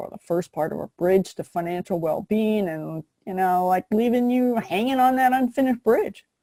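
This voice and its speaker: A woman speaks at a medium pitch with a dark, mellow tone. The sound is dry and close, with no echo. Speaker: business coach. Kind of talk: webinar presentation. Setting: online webinar. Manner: fast; casual, energetic.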